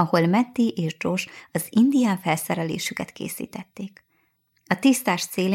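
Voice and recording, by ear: Reading aloud in a natural voice, with quiet all around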